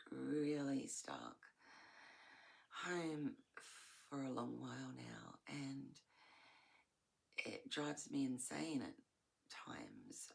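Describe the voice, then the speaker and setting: An Australian accent at a very slow pace. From Australia, Melbourne. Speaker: vlogger. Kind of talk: casual monologue. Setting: at home in bedroom. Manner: halting, searching for words.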